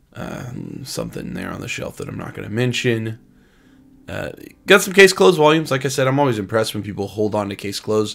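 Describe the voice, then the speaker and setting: At a fairly quick pace, the voice shows vocal fry, very wide pitch swings and big swings in loudness. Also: man, medium pitch for a man. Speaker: YouTuber, manga collector. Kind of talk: casual vlog narration. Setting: convention vendor hall. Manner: fast.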